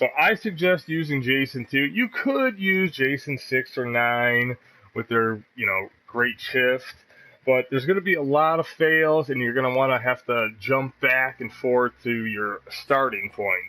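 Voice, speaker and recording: At a fairly slow pace, a man speaks at a medium pitch with lively intonation and a bright, sharp tone. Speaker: gaming YouTuber. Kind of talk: gameplay tutorial commentary. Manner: stumbles over words; casual, conversational.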